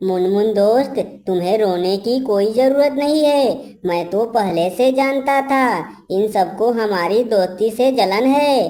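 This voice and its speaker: This is a cartoonish character voice that sounds female. The pitch sits fairly high for a woman. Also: fairly slow pace. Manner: warm, sincere, reassuring.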